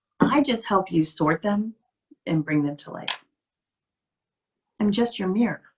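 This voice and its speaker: A soft-spoken woman talks at a fairly slow pace with lively intonation, long and frequent pauses, and big swings in loudness. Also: medium pitch for a woman. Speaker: life coach. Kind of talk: motivational talk.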